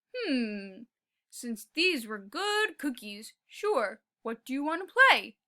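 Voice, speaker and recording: A woman uses a put-on character voice, high-pitched and growling. She speaks at a very slow pace with very wide pitch swings. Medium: read story. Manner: growly but kind.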